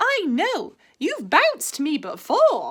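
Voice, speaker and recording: A woman puts on a character voice, speaking very slowly in a raised, projected voice at an extremely high pitch, with very wide pitch swings. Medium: read story. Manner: slow, mild.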